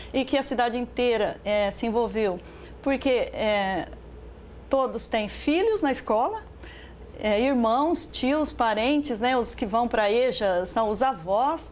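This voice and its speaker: A woman speaks at a very slow pace. Her pitch is fairly high for a woman. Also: ordinary pitch variation, very even loudness. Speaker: short film director and Portuguese teacher. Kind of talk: interview answer.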